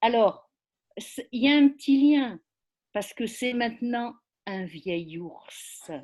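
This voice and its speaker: A woman speaks very slowly at a high pitch, with lively intonation. Long, frequent pauses break up her speech against a quiet background. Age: 70s. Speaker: poetry event participant. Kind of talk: casual group discussion. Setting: video call. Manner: hesitant, many fillers.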